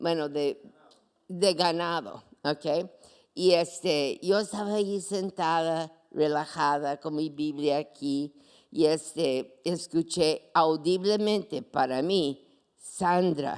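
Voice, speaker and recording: On a very clean recording with a silent background, a woman speaks very slowly at a fairly low pitch with ordinary pitch variation. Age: 80s+. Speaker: pastor. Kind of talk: sermon.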